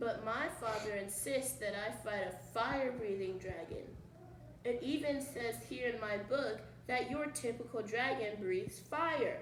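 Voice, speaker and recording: A woman's put-on character voice, squeaky and fairly high, at a moderate pace, with a slight echo and clear background noise. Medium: read story. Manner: timid, stammering.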